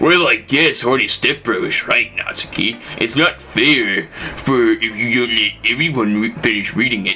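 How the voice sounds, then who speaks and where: A man doing a put-on character voice at a medium pitch, speaking at a moderate pace over clear background noise. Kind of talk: comic gym bro. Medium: game stream.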